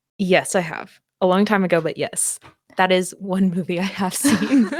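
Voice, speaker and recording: Upbeat and at a moderate pace, a woman speaks in a Valley Girl accent at medium pitch with ordinary pitch variation. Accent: Valley Girl intonation. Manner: light, upbeat lilt.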